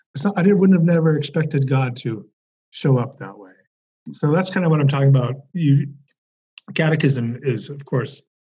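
A man with an American accent speaks at a moderate pace, his voice somewhat breathy and his pitch varying in an ordinary way. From California, Bay Area. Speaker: religion professor. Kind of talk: interview conversation. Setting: video call.

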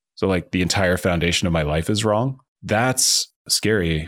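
Delivered at a moderate pace, an unremarkable speaking voice rises and falls with ordinary pitch variation. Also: man, very clean recording, silent background. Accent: American. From New Jersey. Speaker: author and venture capitalist. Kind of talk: interview.

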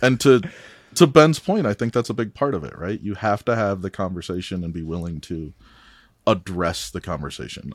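A normal speaking voice from a man with an American accent, fairly low in pitch, at a moderate pace, with a dry, close sound and no echo. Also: very clean recording, silent background. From US Midwest. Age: 30s. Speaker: guest, father. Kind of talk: casual chat.

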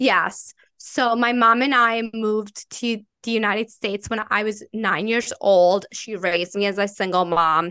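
A woman's bright, sharp tone in an Italian accent, medium pitch with ordinary variation, fairly slow pace, a dry, close sound with no echo and a quiet background. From Italy. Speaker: marketing entrepreneur. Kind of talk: casual interview chat.

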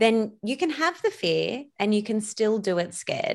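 Captured in a very clean recording with a silent background, a woman speaks in an Australian accent. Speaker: business coach and podcaster. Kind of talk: casual interview chat. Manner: energetic.

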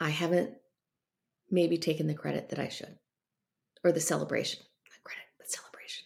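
A woman talks at a fairly quick pace in an animated tone, with big swings in loudness. Long, frequent pauses break up her speech. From US South, North Carolina. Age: 50s. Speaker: business coach and entrepreneur. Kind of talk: interview.

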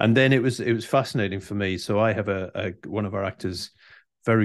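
A man with an English accent talks at a moderate pace in a fairly low pitch. The background is quiet. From England. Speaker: leadership coach. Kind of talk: interview conversation.

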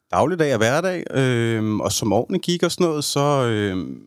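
With lively intonation at a fairly slow pace, the voice sits in a very clean recording with a silent background and a dry, close sound with no echo. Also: man. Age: 30s. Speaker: podcast guest sharing personal story. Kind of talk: personal testimony in interview. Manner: halting, many fillers.

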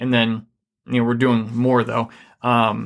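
A man's normal speaking voice at a medium pitch and moderate pace, on a very clean recording with a silent background. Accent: American. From Michigan. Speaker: podcast host and marriage coach, Afghanistan war veteran. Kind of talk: podcast talk, practical teaching.

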